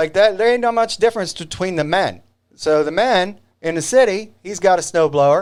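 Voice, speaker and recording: A man speaks in a high voice with an animated tone and lively intonation, with a slight country accent. The recording is very clean, with a silent background. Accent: slight country twang. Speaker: video show host. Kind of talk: casual monologue to camera. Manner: not slow.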